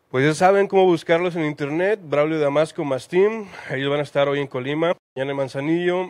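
A man talks in an ordinary speaking voice at a moderate pace. His pitch is fairly high, with ordinary variation. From Mexico. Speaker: interviewer. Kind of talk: interview. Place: cafe. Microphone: handheld.

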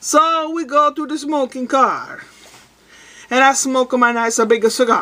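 Using a raised, projected voice, a woman speaks at a fairly slow pace. Her pitch shows ordinary variation. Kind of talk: casual vlog joke telling. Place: home room. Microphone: webcam.

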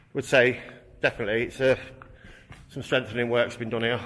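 This man talks at a very fast pace in a monotone, flat intonation. Light background noise can be heard. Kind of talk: casual exploration commentary. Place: tunnel cave. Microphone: phone near.

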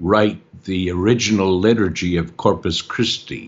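A man's very deep, low voice at a very slow pace, with ordinary pitch variation. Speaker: film narrator. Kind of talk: interview. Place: home room. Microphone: video call.

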